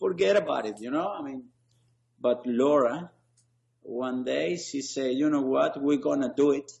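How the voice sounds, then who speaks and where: A man with an Argentinian accent, fairly high-pitched, at a moderate pace with long, frequent pauses. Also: ordinary pitch variation. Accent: noticeable foreign accent, Argentinian. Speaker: sports league founder. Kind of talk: interview conversation. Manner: hesitant, many fillers.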